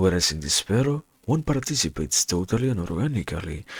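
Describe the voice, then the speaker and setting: A man with vocal fry talks at a moderate pace, his pitch making very wide swings. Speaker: reader. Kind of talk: philosophy reading.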